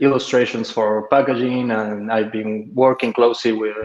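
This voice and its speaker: Speaking in an Argentine accent, a man keeps a monotone, flat intonation. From Argentina, Mendoza. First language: Spanish. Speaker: freelance illustrator. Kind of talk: casual chat.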